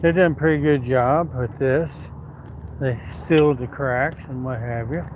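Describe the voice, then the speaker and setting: Pitch moves in an ordinary way while noticeable background noise stays present. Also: man, medium pitch for a man, fairly slow pace. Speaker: livestreamer. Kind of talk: casual chat.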